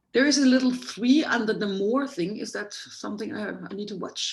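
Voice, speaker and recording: Through audible room echo, a woman speaks at a fairly quick pace with big swings in loudness. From Germany. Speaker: Ayurveda doctor, guest lecturer. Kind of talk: lecture. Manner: fast.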